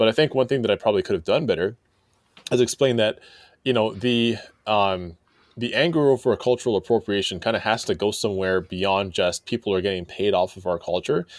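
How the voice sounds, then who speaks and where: An ordinary speaking voice moves at a fairly quick pace with ordinary pitch variation in a dry, close sound with no echo. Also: man, medium pitch for a man. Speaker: magazine editor and writer. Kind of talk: casual discussion.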